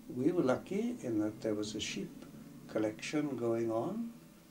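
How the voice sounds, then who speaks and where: In a South Welsh accent, a man with a medium pitch and a dark, mellow tone speaks at a fairly slow pace, somewhat breathy and with lively intonation, with audible room echo. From South Wales, Bridgend area. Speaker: elderly storyteller recounting memories. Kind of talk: personal reminiscence narration.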